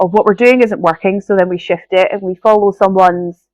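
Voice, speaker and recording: A woman speaks in a Scottish accent at a fairly quick pace. The sound is dry and close with no echo, against a quiet background. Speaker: podcast host and business coach. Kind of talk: solo podcast monologue. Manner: conversational, animated.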